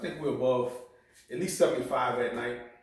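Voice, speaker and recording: There is audible room echo around the speaker. A man talks at medium pitch with ordinary pitch variation. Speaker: bonsai hobbyist YouTuber. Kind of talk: tutorial. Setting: at home. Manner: casual with many fillers.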